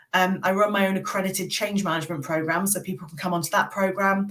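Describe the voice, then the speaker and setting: A woman's medium-pitched voice with a British accent and fairly even intonation. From England. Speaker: military veteran and change management consultant. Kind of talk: podcast interview.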